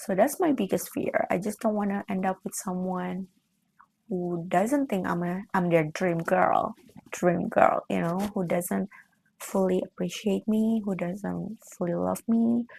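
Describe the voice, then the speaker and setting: A somewhat breathy woman speaks at medium pitch and a fairly slow pace, with ordinary pitch variation, in a dry, close sound with no echo. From Indonesia. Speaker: lifestyle vlogger. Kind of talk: casual chat.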